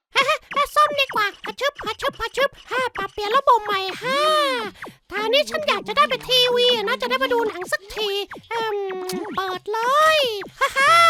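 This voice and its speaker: A man's cartoonish character voice at an extremely high pitch. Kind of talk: comedic cartoon fandub. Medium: dub. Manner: excitable, exaggerated.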